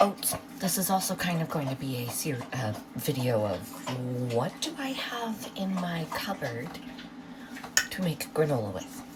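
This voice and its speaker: Over noticeable background noise, a woman speaks slowly at a fairly low pitch, with very wide pitch swings and long, frequent pauses. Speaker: home cooking vlogger. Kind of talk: casual cooking tutorial. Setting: home kitchen at night. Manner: soft-spoken.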